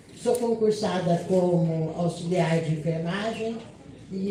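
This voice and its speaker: Speaking at a very slow pace, a woman uses a medium pitch and ordinary pitch variation, with audible room echo and noticeable background noise. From Brazil, Campinas (São Paulo state). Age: 70s. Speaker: union leader and nursing worker. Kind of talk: panel talk at a seminar. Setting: seminar panel, seated, with audience.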